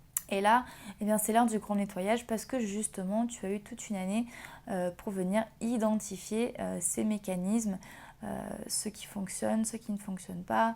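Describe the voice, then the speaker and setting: In a dark, mellow tone, a woman at a medium pitch speaks with monotone, flat intonation. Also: moderate pace. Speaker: tarot reader. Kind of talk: tarot reading video. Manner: halting, many fillers.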